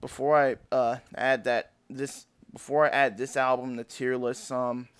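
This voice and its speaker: Over a very clean, silent background, a man speaks fairly slowly at medium pitch with monotone, flat intonation. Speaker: YouTuber ranking albums. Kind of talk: casual commentary. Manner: halting, many fillers.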